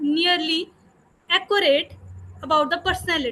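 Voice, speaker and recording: A woman's raised, projected voice at a fairly slow pace. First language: not English. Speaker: university student, audience member. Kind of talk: audience question. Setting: video call. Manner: hesitant, halting.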